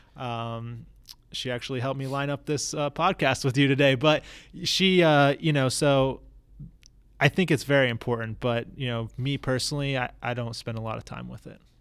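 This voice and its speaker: A man with a plain, everyday voice speaks at a moderate pace with an American accent, his intonation fairly even. His loudness swings widely on a very clean recording with a silent background. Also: medium pitch for a man. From Florida, US. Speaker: tech startup founder. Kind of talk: casual interview.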